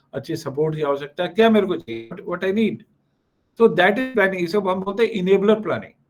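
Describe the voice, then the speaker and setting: A high-pitched man talks at a moderate pace with ordinary pitch variation. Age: 60s. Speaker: company executive, alumnus speaker. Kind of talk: motivational alumni talk. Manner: frequent fillers and code-switching.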